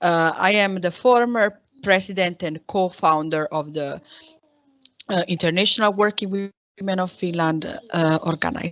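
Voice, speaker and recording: A woman with an Italian accent talks at a medium pitch. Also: ordinary pitch variation, moderate pace. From Italy. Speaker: women's rights activist. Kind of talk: panel discussion.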